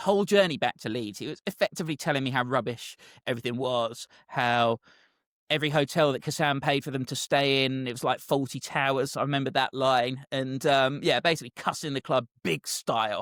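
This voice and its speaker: A man with a southern English accent talks fairly quickly at a medium pitch with ordinary pitch variation, on a very clean recording with a silent background. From southern England. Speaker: football commentator. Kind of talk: casual chat, anecdote.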